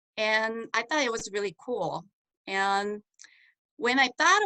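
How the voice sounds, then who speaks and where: A woman talks with a Korean accent in a bright, sharp tone. Her intonation is lively, and the sound is dry and close with no echo. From South Korea. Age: 30s. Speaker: network marketing distributor. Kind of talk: testimony. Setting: video call.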